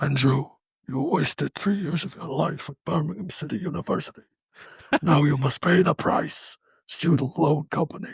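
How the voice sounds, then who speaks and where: Using a put-on character voice, a man sounds menacing at a fairly high pitch. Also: moderate pace. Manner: creepy, menacing.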